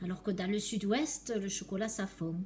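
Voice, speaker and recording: The woman's medium-pitched voice unfolds at a fairly slow pace. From southwest France. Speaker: chocolatier. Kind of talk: casual talk to camera while working.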